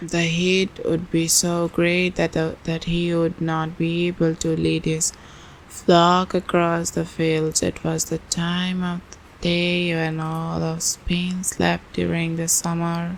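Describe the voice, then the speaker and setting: Soft-spoken and very slow, a woman talks at a fairly low pitch with monotone, flat intonation. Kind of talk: ASMR book reading.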